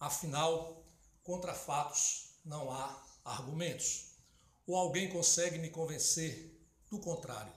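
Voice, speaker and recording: Audible room echo carries a man's fairly high voice. He speaks at a fairly slow pace with fairly even intonation. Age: 60s. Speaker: political commentator. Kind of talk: political opinion monologue.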